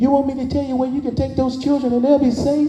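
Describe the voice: A man talks very fast in a squeaky, extremely high put-on character voice with flat, monotone intonation. Clear background noise sits behind him.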